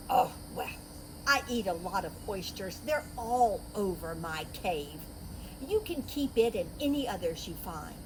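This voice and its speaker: A woman's put-on character voice at a fairly slow pace, over loud background noise. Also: medium pitch for a woman. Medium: read story. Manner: proud, bossy.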